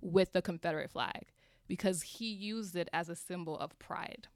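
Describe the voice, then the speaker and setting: An ordinary speaking voice with an American accent moves at a moderate pace with ordinary pitch variation on a very clean recording with a silent background. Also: woman. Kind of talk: casual panel discussion.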